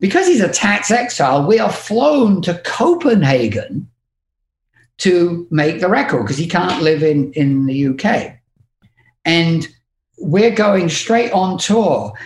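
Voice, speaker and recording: A man speaks at a very slow pace with a British accent. His high voice swings very widely in pitch. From England. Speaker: music industry manager. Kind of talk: casual chat.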